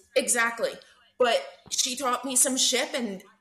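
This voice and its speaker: With an East Coast US accent, a woman talks at a fairly slow pace in a high pitch and fairly even intonation. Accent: American East Coast. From US East Coast, New Jersey. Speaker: expat guest. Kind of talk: casual interview chat.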